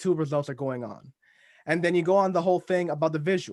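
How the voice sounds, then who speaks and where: In a very clean recording with a silent background, a man mumbles in a fairly high voice, animated in tone, with ordinary pitch variation. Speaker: podcast host. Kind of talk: casual chat. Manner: mumbling, trails off.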